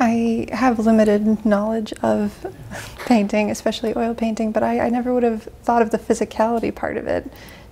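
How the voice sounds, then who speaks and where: A woman talks at a fairly quick pace. Her fairly high voice stays monotone and flat. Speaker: interviewer. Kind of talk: interview. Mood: curious, friendly. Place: studio.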